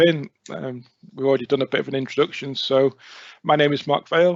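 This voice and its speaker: The speaker is a man with a very fast delivery. Ordinary pitch variation marks his speech. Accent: North Wales. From North Wales (near Rhyl). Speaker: IT consultant. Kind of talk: presentation.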